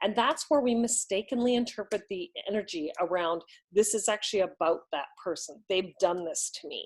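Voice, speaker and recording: A woman with a normal speaking voice and medium pitch talks at a moderate pace, her intonation lively and her loudness swinging widely. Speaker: relationship coach. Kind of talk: lesson.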